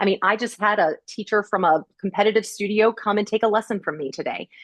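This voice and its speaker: The speaker sounds animated and moves at a fairly quick pace. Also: woman. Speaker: Pilates instructor and studio owner. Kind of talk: podcast interview. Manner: loud; animated, perky.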